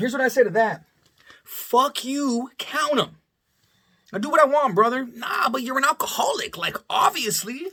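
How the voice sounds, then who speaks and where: With an extremely high pitch, a man uses a raised, projected voice in an animated tone. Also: ordinary pitch variation, moderate pace. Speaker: vlogger, bartender. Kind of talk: casual storytelling monologue. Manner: loud, projects voice; animated, stammering repetitions.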